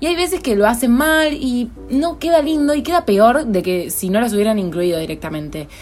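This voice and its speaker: Through noticeable background noise, a woman talks at a moderate pace with hardly any pauses, her high voice making very wide pitch swings. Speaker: podcast co-host. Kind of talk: casual chat.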